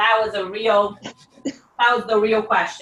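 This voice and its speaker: A woman speaks at a fairly slow pace with a Portuguese accent. Music plays in the background. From Brazil, Salvador (Bahia). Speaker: home cook. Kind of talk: cooking demonstration. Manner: casual, instructive.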